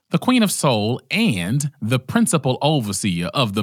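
A man is speaking. His pace is moderate. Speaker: podcast host. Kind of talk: casual chat. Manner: animated.

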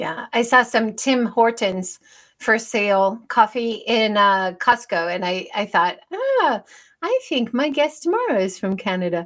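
This woman has a fairly high pitch and an unremarkable speaking voice, and she talks at a fairly slow pace. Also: lively intonation. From United States. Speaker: podcast host, former university teacher. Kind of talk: casual interview chat. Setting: video call, livestreamed.

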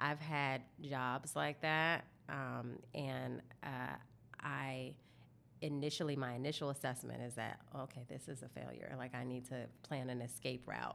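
Speaking at a fairly slow pace, a woman uses a very deep, low pitch with vocal fry and fairly even intonation. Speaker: communications consultant, entrepreneur. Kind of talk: casual interview chat.

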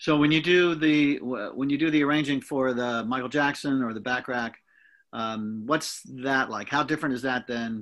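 A man talks in a plain, everyday voice at a medium pitch and moderate pace. His pitch variation is ordinary, and the background is quiet. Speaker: radio host. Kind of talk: radio interview and show hosting. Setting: radio studio.

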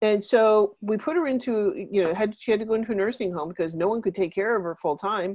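Talking at a very fast pace with hardly any pauses, a woman uses medium pitch and ordinary pitch variation. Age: 50s. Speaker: teacher and plant-based diet coach. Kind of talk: interview.

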